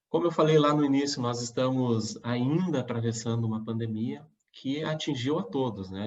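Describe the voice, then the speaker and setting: This man talks at a moderate pace with ordinary pitch variation and medium pitch, a plain, everyday voice. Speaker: mayoral candidate. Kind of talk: campaign presentation.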